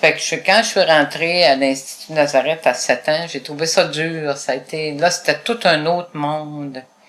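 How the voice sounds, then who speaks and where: Over noticeable background noise, a woman with a very deep, low pitch talks at a fairly slow pace with hardly any pauses and big swings in loudness. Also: fairly even intonation. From Quebec, Gaspésie. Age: 70s. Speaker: retired advocate for blind people. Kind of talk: interview.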